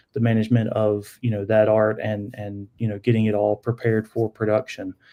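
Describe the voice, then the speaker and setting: A man speaks in a medium pitch with a North Carolina accent. His tone is dark and mellow. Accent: Southern US (North Carolina). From US South, Charlotte area, North Carolina. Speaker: sign business owner. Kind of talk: casual interview podcast.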